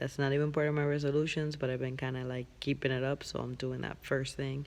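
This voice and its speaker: At a fairly quick pace, the speech comes out quiet. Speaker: vlogger. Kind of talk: casual vlog monologue. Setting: big empty room. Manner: talking quietly.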